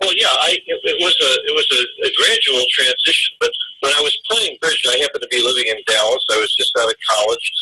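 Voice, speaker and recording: Noticeable background noise runs under a man who talks at a fairly quick pace. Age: 70s. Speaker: backgammon teacher. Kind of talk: interview. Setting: podcast interview.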